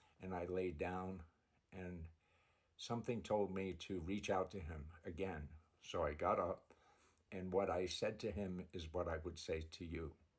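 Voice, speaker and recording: Somewhat breathy speech in an American accent moves at a fairly slow pace, broken by long, frequent pauses. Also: man, very deep, low pitch for a man. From United States. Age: 70s. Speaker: religious video creator. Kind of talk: personal testimony. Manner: halting.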